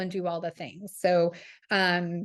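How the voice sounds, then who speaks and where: Over a quiet background, a woman with a plain, everyday voice speaks at a fairly slow pace and a medium pitch. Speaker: parenting and breastfeeding educator. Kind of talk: live seminar presentation. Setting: live seminar with in-person audience.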